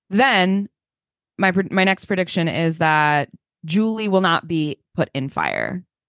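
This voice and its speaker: Recorded dry and close with no echo over a quiet background, a woman has an ordinary speaking voice with a fairly low pitch and ordinary pitch variation. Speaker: podcast co-host. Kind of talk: casual chat.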